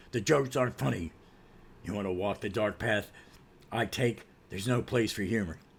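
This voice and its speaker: Using a put-on character voice, a man with a fairly low pitch talks at a fairly quick pace, broken by long, frequent pauses. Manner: grim, stern.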